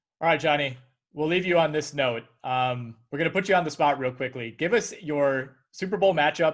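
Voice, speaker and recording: Fairly high-pitched male speech at a fairly quick pace, ordinary pitch variation and an ordinary speaking voice, on a very clean recording with a silent background. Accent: American. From Wisconsin. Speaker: sports podcast host. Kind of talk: interview.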